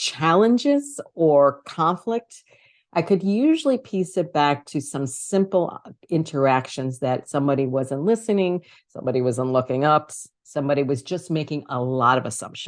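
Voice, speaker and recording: A woman with a New York accent, a very deep, low pitch, lively intonation and a moderate pace. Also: quiet background. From New York City (Brooklyn, Queens). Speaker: author and communication coach. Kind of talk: interview.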